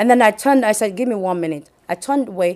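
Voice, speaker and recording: A woman's fairly high voice with lively intonation and a Nigerian accent. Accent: Nigerian (Yoruba) English. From Nigeria (Yoruba, southwest). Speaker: hospital chaplain and business owner. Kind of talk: interview testimony. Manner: hesitant, many fillers.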